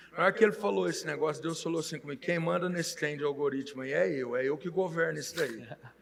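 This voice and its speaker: A man at a fairly high pitch and a very fast pace over noticeable background noise. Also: ordinary pitch variation, hardly any pauses. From Minas Gerais, Brazil (Monte Santo de Minas). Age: 40s. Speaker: pastor and car dealer. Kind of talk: casual interview chat.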